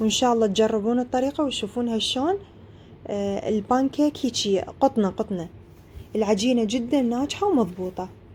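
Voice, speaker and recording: With an Iraqi accent, a woman talks at a moderate pace in a fairly high voice with a dark, mellow tone and lively intonation. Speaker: cooking video creator. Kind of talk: cooking tutorial.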